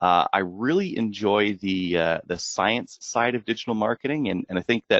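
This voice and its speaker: A man is speaking. He has a Canadian accent. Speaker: marketing executive. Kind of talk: webinar presentation. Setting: online webinar. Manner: fast; hesitant with frequent fillers.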